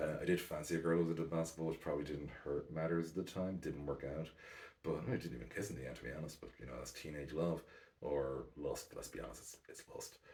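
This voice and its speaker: This man is soft-spoken. He talks at a fairly quick pace. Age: 40s. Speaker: basketball podcaster. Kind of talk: casual monologue. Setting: at home at night.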